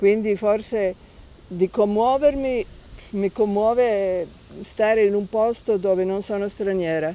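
A woman with a non-native accent and a dark, mellow tone speaks at a fairly slow pace with ordinary pitch variation. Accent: foreign accent in Italian. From Serbia, Belgrade. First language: Serbo-Croatian (speaking Italian). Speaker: journalist. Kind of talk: interview.

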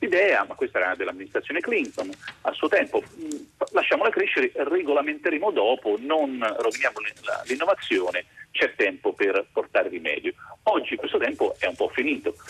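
Noticeable background noise sits behind a man talking at a fairly quick pace. His loudness stays very even throughout. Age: 50s. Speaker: philosophy professor. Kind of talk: radio interview.

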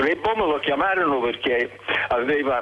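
With noticeable background noise behind him, a man speaks in lively intonation. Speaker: literature professor and translator. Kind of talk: interview. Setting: phone call. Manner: halting.

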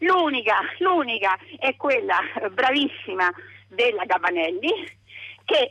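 Speaking at a very slow pace, a woman with a high pitch makes very wide pitch swings. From Umbria, province of Perugia. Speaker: radio caller. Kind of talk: phone-in comment. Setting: phone call. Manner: animated.

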